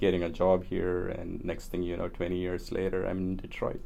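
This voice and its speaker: A man with a very deep, low pitch speaks in a monotone, flat intonation at a fairly quick pace, with audible room echo. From India (Kerala, Tamil family). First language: Tamil. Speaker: engineer and community organizer. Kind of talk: oral history interview. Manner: hesitant, many fillers.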